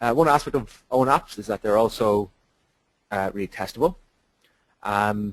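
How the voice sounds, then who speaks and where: A man with an Irish accent speaks at a fairly low pitch with ordinary pitch variation and long, frequent pauses. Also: moderate pace. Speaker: software developer. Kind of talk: webinar presentation. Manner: hesitant, many fillers.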